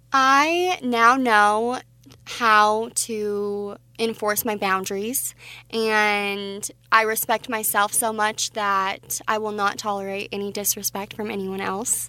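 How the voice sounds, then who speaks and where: A woman with a Mountain West accent speaks very slowly at a fairly high pitch, her tone bright and sharp. Her intonation stays fairly even, and the recording is very clean with a silent background. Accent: General American (Mountain West). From Wyoming, Casper. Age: 20s. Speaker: pageant titleholder and boutique owner. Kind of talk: radio interview.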